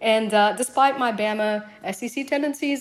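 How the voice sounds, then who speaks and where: Her voice is pitched fairly high. The woman talks with an American accent. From US South. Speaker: fantasy league player. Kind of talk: listener voice message.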